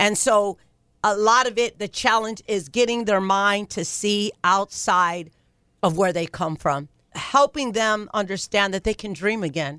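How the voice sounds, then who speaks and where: A woman speaks in a normal speaking voice with an American accent, medium in pitch and with ordinary pitch variation. Her pace is moderate, and the sound is dry and close with no echo. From Ohio. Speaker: nonprofit founder and pastor. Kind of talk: radio interview.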